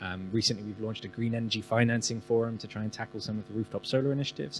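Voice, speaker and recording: Over music in the background, a man with a British accent speaks very fast at a fairly low pitch. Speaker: business chamber representative. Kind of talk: panel discussion.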